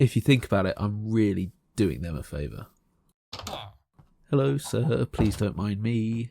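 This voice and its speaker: A man with an English accent, a fairly low pitch and a dark, mellow tone, fairly slow speech with long, frequent pauses, in a dry, close sound with no echo. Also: lively intonation. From England. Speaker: gaming youtuber. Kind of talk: gameplay commentary. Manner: casual, chatty.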